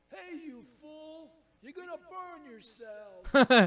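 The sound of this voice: A man puts on a character voice, pitched extremely high. He speaks very slowly.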